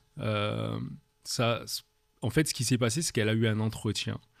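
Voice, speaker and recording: Monotone, flat intonation carries a slight southern French accent in a very clean recording with a silent background. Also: man. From France, Paris and southern France. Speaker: leadership coach. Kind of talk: podcast interview. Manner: hesitant, many fillers.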